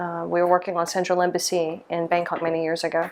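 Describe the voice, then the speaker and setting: At a very fast pace, a woman with an American accent speaks in a fairly low pitch. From US South, small-town Mississippi. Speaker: lighting designer. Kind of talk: interview monologue. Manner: hesitant, many fillers.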